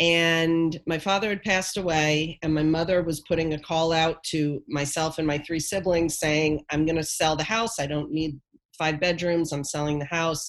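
A woman with a very deep, low pitch talks with fairly even intonation and very even loudness. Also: moderate pace. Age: 50s. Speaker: nonprofit founder. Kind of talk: interview conversation.

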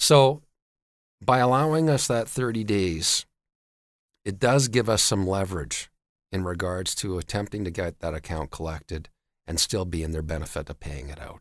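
On a very clean recording with a silent background, a man with a very deep, low pitch talks at a moderate pace, with very wide pitch swings, big swings in loudness, and long, frequent pauses. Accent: Canadian. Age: 40s. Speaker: debt collection company CEO. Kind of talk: interview.

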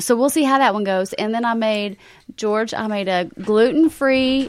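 A woman with a Southern US accent speaks at fairly high pitch and a moderate pace, with fairly even intonation, on a very clean recording with a silent background. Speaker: caterer. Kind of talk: casual chat. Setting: studio. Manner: warm.

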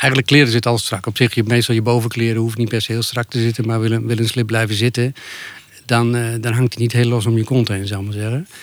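Moving at a very fast pace, a man of medium pitch speaks with a monotone, flat intonation. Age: 50s. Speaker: podcast guest, nudist. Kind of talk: casual interview. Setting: outdoors under an apple tree. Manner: halting, repetitive.

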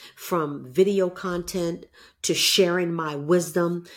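On a very clean recording with a silent background, a woman uses a normal speaking voice at a fairly low pitch. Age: 50s. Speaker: entrepreneur and fitness coach, former hurdler. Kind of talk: casual chat.

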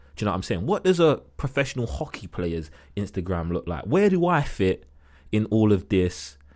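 A man talks at a moderate pace, his pitch swinging very widely. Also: fairly low pitch for a man, very clean recording, silent background. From East London, England. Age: 30s. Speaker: retired professional basketball player. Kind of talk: casual podcast interview. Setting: in-person home studio.

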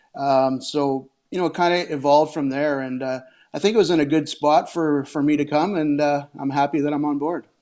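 A man with a Canadian prairie accent and a dark, mellow tone talks at a fairly quick pace with fairly even intonation against a quiet background. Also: fairly high pitch for a man. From Saskatchewan, Canada. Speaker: hockey coach. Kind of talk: casual interview.

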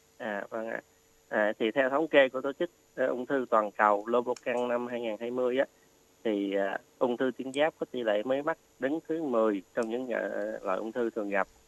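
A man with a medium pitch speaks at a moderate pace, the sound dry and close with no echo. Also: ordinary pitch variation. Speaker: oncology doctor. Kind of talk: expert health advice. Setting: radio studio. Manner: halting, many fillers.

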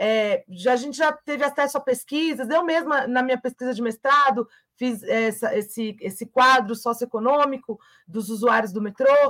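A woman speaks in a high pitch. The sound is dry and close, with no echo. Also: ordinary pitch variation, moderate pace. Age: 30s. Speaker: trade union leader. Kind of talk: interview.

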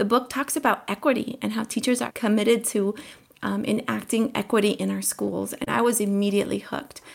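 A woman's fairly high voice with vocal fry, fairly even intonation, an American accent and a fairly quick pace. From Colombia, raised in the US. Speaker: teacher. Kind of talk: interview.

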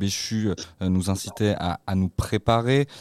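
A man speaks at a fairly low pitch. The recording is very clean with a silent background and a dry, close sound with no echo. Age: 20s. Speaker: radio host. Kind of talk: radio talk show. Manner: halting, repeats words.

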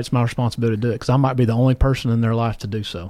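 The voice carries a Tennessee accent. The recording is very clean, with a silent background. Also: man. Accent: Tennessee Southern US. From Tennessee, Columbia. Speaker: insurance regional manager. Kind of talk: casual interview.

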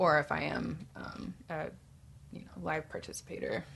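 A woman with an American accent speaks at a very deep, low pitch, her bright, sharp tone carrying vocal fry. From Tucson, Arizona. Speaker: photographer and actor. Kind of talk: casual podcast chat.

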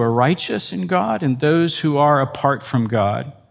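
Here a man with a normal speaking voice talks at a moderate pace, pitched fairly high with ordinary pitch variation. The recording is very clean, with a silent background. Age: 60s. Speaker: pastor and teacher. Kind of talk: lecture. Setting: stage with audience.

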